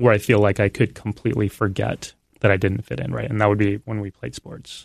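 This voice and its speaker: In a dry, close sound with no echo and a quiet background, a man speaks at a moderate pace and a fairly low pitch, an ordinary speaking voice. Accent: American. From Texas, San Antonio. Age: 30s. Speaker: professor of religion. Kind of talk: interview. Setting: studio.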